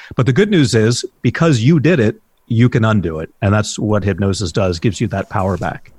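Somewhat breathy and fairly low in pitch, a man talks at a fairly quick pace with lively intonation. The very clean recording has a silent background and a dry, close sound with no echo. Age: 50s. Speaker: hypnotherapist. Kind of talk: interview.

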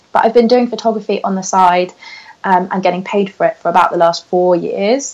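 A woman talks at a fairly quick pace, with noticeable background noise behind her. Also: medium pitch for a woman, fairly even intonation. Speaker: podcast guest, photographer and blogger. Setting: podcast interview. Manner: fast talker.

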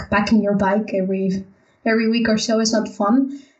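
A woman with a Spanish accent speaks at a fairly quick pace and a fairly high pitch, her intonation monotone and flat. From Spain, Valencia. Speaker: architect and bicycle traveler. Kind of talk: casual interview.

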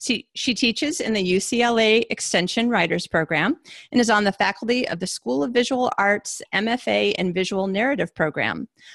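A woman with medium pitch and vocal fry talks at a moderate pace with hardly any pauses and lively intonation. The sound is dry and close with no echo, over a quiet background. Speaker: podcast host. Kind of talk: interview. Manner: excitable.

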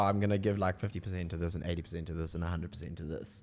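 The man's words come out at a very fast pace. Behind him, music can be heard. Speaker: artist and muralist. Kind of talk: casual chat. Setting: surf shop.

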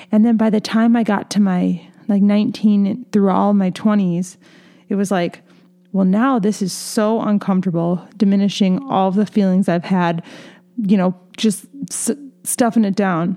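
At a moderate pace, a woman in a normal speaking voice talks with fairly even intonation and very even loudness. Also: medium pitch for a woman. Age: 30s. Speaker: podcast host. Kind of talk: solo podcast monologue. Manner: casual, conversational with fillers.

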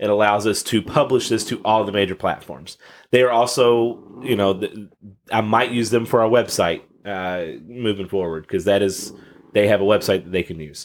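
A man talks at a moderate pace with ordinary pitch variation. He has a fairly low pitch and an ordinary speaking voice. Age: 30s. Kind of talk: casual chat.

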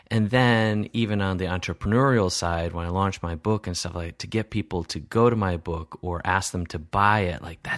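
With an enthusiastic tone, a man speaks at a moderate pace with hardly any pauses. His pitch is fairly low, with ordinary variation. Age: 40s. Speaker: podcast host. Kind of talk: interview.

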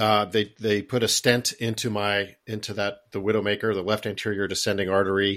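A man talks at a moderate pace in a normal speaking voice. The recording is very clean, with a silent background. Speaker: podcast host and heart attack survivor. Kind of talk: interview, personal story.

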